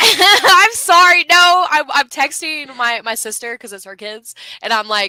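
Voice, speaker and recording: A woman uses a high, raised and projected voice at a fairly slow pace, with very wide pitch swings and big swings in loudness. The sound is dry and close, with no echo. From Virginia, Richmond. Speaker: metal podcaster and photographer. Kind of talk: casual chat.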